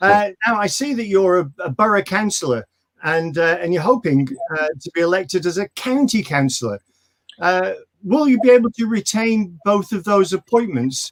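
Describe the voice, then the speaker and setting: Speaking at a moderate pace with a slight northern English accent, a man uses lively intonation and a high pitch, the sound dry and close with no echo. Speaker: local show host, military veteran. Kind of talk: casual interview. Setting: video call.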